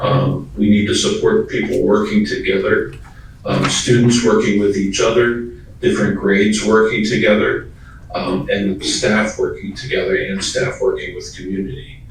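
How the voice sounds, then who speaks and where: Noticeable background noise and audible room echo surround the recording. A man talks at a moderate pace through them. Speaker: school design consultant. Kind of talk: presentation.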